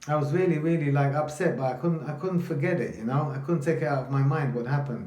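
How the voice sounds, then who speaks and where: With a London accent, a man talks at a very fast pace and a fairly high pitch. His tone is animated, and audible room echo surrounds him. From London, England (from age 7; early childhood in Italy). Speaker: vlogger telling his life story. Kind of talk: personal storytelling monologue. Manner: animated, halting with repetitions.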